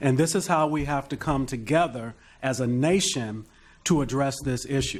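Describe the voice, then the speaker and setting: A man uses a normal speaking voice, pitched fairly high, with ordinary pitch variation at a moderate speed. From US Midwest, Detroit. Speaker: panelist. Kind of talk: panel discussion.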